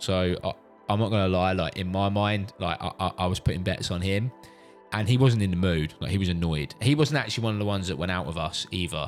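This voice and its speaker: Over music in the background, a man with a British accent talks at a very fast pace with a very deep, low pitch and ordinary pitch variation. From UK. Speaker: father. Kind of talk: casual storytelling to camera.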